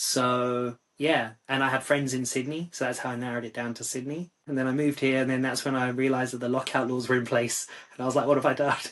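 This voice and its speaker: A man in a London accent, medium-pitched, very fast, monotone and flat, with hardly any pauses. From London, England. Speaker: psychiatrist and music review site founder. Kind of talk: podcast interview.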